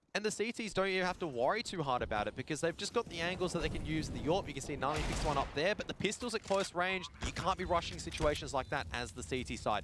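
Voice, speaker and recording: A man with an Australian accent talks very fast with hardly any pauses, using a fairly high pitch and lively intonation. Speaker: esports commentator. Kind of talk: live commentary. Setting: live stream broadcast.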